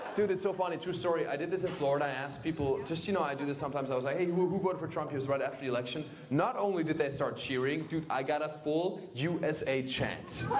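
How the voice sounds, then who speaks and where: An animated man with a fairly high pitch and ordinary pitch variation races along at a very fast pace with hardly any pauses, amid audible room echo and noticeable background noise. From Germany. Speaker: stand-up comedian. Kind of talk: stand-up. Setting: stage with audience.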